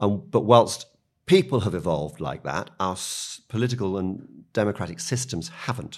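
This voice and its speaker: Speaking with a British accent, a man with a fairly low, lively voice and vocal fry keeps a moderate pace. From UK. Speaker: media policy executive. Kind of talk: podcast interview.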